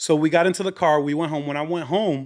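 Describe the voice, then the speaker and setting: A man with a fairly high pitch speaks in an animated tone at a fairly quick pace, with ordinary pitch variation. The recording is very clean with a silent background. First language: Spanish. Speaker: comedian. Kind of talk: casual chat. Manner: animated, mixing English and Spanish.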